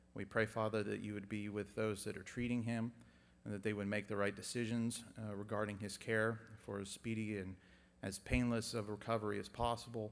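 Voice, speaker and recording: Speaking at a fairly quick pace, a man keeps a fairly low pitch and a flat, monotone intonation. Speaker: prayer leader. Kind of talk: public prayer. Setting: church chapel with audience. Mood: solemn, earnest. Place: church. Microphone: podium.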